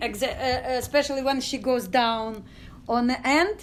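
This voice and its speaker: High-pitched female speech against noticeable background noise. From Ukraine, village near Odessa. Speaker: dance company artistic director. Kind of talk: interview testimony. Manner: halting, many fillers.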